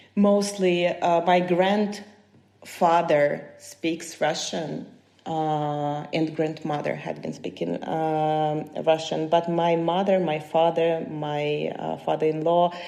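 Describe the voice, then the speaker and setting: Very slow, fairly even speech in a dark, mellow tone with a Ukrainian accent. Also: woman, very deep, low pitch for a woman. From Ukraine, Kyiv. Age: 30s. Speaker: human rights defender. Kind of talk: podcast interview. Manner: halting.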